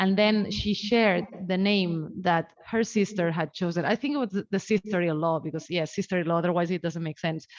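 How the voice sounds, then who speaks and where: A woman with a non-native accent talks at a fairly quick pace and a medium pitch, with ordinary pitch variation and hardly any pauses. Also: dry, close sound with no echo. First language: not English. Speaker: academic researcher presenting a talk. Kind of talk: research seminar presentation. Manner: hesitant, many filler sounds.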